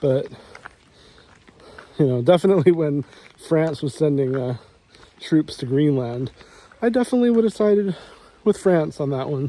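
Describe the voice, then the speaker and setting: A man's fairly high voice with an American accent, lively intonation, a moderate pace and long, frequent pauses. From United States. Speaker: vlogger. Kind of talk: casual monologue while walking. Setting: outdoors, walking in the rain. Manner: halting, many repeated words.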